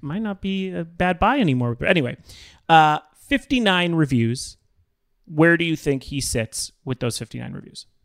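A man with an ordinary speaking voice talks at a moderate pace. The recording is very clean and dry, with a close sound, no echo and a silent background. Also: fairly high pitch for a man, lively intonation. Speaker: podcast host. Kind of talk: casual chat.

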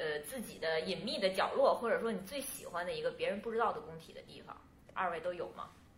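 With a fairly high pitch and very wide pitch swings, a woman speaks at a fairly quick pace. Noticeable background noise and audible room echo are present. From northeast China, Changchun. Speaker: podcast host. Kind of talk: casual interview chat.

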